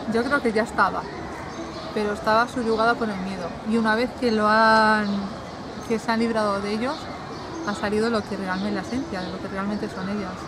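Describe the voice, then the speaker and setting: A woman with a Spanish accent at a fairly quick pace, dry with no echo, over noticeable background noise. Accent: Peninsular Spanish. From Spain. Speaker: romance novelist. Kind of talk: casual interview. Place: garden.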